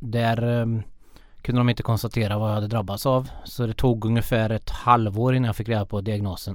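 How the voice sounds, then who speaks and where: On a very clean recording with a silent background, a man speaks at a fairly quick pace and medium pitch with monotone, flat intonation. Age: 30s. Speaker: para sports worker with visual impairment. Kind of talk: interview. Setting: studio.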